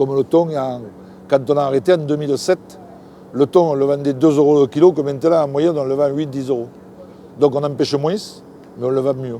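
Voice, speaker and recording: A fairly high-pitched man with a southern French accent, a fairly quick pace, long, frequent pauses and noticeable background noise. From southern France. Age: 60s. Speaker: fisherman. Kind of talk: interview answer. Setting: outdoors. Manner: enthusiastic, lively.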